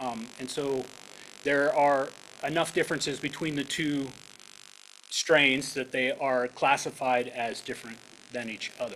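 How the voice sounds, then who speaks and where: A man with an American accent speaks at a fairly high pitch and a fairly slow pace, in a flat, monotone way. Long, frequent pauses break his speech, and background noise is noticeable. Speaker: researcher giving a guest lecture. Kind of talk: lecture. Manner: hesitant, many fillers.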